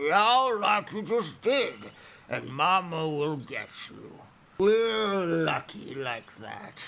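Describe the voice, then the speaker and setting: Using a put-on character voice, a man speaks very slowly at a high pitch. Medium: read story. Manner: drowsy, rumbling.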